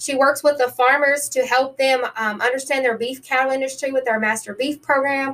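A woman with a high pitch at a fairly quick pace. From New Orleans, then western Tennessee. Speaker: county extension agent. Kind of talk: interview. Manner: upbeat, energetic.

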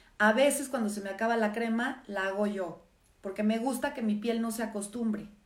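A woman sounds animated as she speaks at a fairly quick pace and fairly high pitch with ordinary pitch variation, and the room echo is audible. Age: 50s. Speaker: live stream host, former therapist. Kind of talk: casual live stream monologue. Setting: social media live stream.

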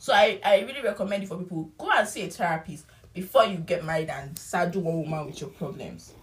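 Speaking at a very fast pace, a woman with a fairly low pitch and a somewhat breathy voice uses ordinary pitch variation and big swings in loudness. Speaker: podcast co-host. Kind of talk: casual chat.

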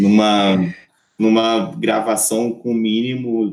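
The voice is a man's, at a medium pitch. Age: 30s. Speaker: music industry artist and repertoire manager. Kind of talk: casual interview chat. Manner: halting, many repetitions.

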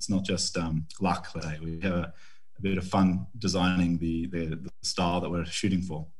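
A man with an Australian accent, very deep and low in pitch, at a moderate pace with monotone, flat intonation and audible room echo. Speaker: winemaker. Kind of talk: interview.

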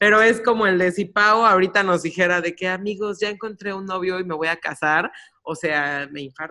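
A woman speaks in a normal speaking voice at a medium pitch. Her pace is moderate, with ordinary pitch variation. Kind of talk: casual chat.

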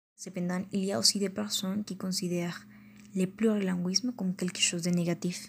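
Somewhat breathy and in a medium pitch, a woman with a Colombian accent talks at a moderate pace with fairly even intonation in a very clean recording with a silent background. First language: Spanish (speaking French). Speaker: language learner podcaster. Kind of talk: educational monologue. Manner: hesitant, with fillers.

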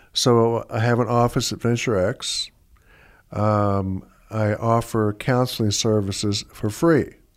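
A man speaks at medium pitch and a very slow pace. The recording is very clean, with a silent background. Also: fairly even intonation. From Southwest Florida. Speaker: retired educator and counselor. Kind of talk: casual chat. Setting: studio.

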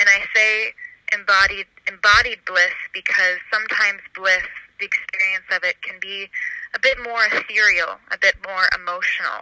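A woman's medium-pitched, monotone voice at a moderate pace, flat in intonation, with a dry, close sound and no echo. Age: 20s. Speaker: wellness practitioner and cook. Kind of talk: interview. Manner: halting.

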